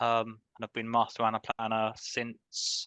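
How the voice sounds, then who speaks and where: In a British accent, a man of medium pitch speaks with a bright, sharp tone, the sound dry and close with no echo against a quiet background. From UK. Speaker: financial planning specialist. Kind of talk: panel interview.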